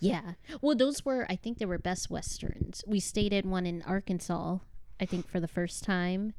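A woman's normal speaking voice with an American accent, at medium pitch and moderate pace, with ordinary pitch variation. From Chicago, Illinois. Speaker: podcast co-host, mother, aspiring novelist. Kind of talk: casual chat.

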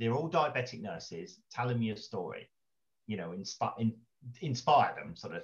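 A man with a southern English accent talks fairly quickly at a medium pitch, somewhat breathy, with lively intonation. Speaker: financial advisor with type 2 diabetes. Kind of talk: interview. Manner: halting.

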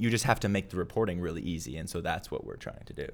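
There is audible room echo around a man with an American accent whose pitch is very deep and low. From US Midwest, Minneapolis, Minnesota. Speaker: tax software founder. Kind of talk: live event interview with Q&A. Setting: stage with live audience.

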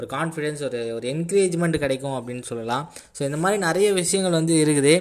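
The speaker is a man with a fairly high pitch. Noticeable background noise is present. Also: ordinary pitch variation. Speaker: podcaster. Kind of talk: casual chat. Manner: halting.

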